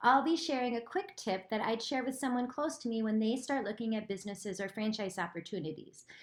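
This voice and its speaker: With an American accent, a woman talks at a fairly quick pace in a fairly high pitch with lively intonation. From US Midwest. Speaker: franchise consultant. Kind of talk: short advice video. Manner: casual, energetic.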